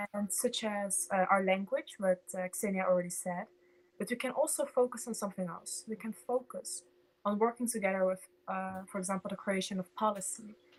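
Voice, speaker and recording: A woman with a Dutch accent talks at a fairly quick pace, her pitch medium. Her voice is somewhat breathy, with ordinary pitch variation. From Netherlands. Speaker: political party volunteer. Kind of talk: meeting presentation.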